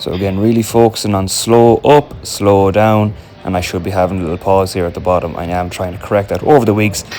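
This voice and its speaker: In an Irish accent, the speaker rushes along at a very fast pace with hardly any pauses and ordinary pitch variation over noticeable background noise. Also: man, fairly low pitch for a man. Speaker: amateur Gaelic footballer and fitness vlogger. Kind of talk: gym vlog voiceover narration.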